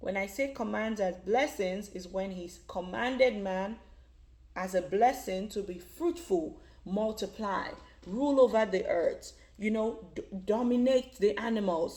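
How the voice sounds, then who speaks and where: A woman's fairly high voice with a dark, mellow tone, ordinary pitch variation and a fairly slow pace. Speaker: Bible teacher for children. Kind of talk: casual Bible lesson. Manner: halting, with fillers and restarts.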